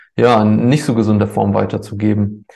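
This man has a fairly low voice with a dark, mellow tone. He speaks at a moderate pace in a monotone, flat way. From Germany, born in Ukraine. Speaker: cacao business owner. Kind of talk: podcast interview.

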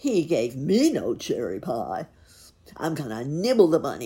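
This is a put-on character voice with a growl. It sits at a middle pitch and moves at a moderate pace. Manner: growling, menacing.

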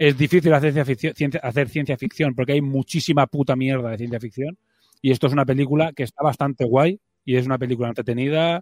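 Dry and close with no echo, a man talks at a very fast pace in a fairly high pitch with fairly even intonation. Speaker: podcast host. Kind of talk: casual chat.

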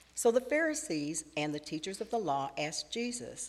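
A woman with a normal speaking voice, lively intonation and a moderate pace. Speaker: scripture reader. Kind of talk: reading aloud. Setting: church.

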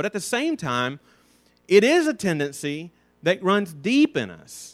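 In a very clean recording with a silent background, a man with an Alabama accent speaks at a high pitch, the sound dry and close with no echo. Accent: Southern US (Alabama). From US South, North Alabama. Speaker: Sunday school teacher. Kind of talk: Bible lesson. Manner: halting.

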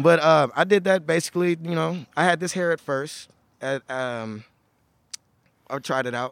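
Speaking with an American accent, a man uses a fairly high pitch, ordinary pitch variation and a moderate pace, with long, frequent pauses. The sound is dry and close, with no echo. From Houston, Texas (Third Ward). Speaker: rapper. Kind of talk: casual chat.

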